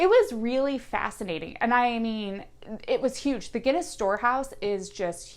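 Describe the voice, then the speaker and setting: At a moderate pace, a woman with an American accent talks with ordinary pitch variation. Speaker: travel vlogger. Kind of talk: casual travel review monologue. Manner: hesitant, many fillers.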